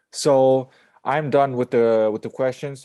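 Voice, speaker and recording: Against a quiet background, a man with an Italian accent speaks at a moderate pace in a medium pitch, using a dark, mellow tone and flat, monotone intonation. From Italy. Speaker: podcast host. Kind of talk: interview.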